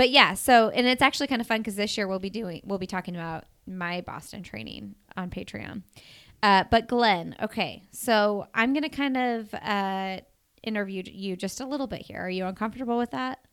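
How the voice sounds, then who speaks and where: Speaking with a Midwestern US accent, a woman talks at a moderate pace at a medium pitch with ordinary pitch variation, in a very clean recording with a silent background. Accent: US Midwest. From Indiana, Bloomington. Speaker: podcast host. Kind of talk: casual chat.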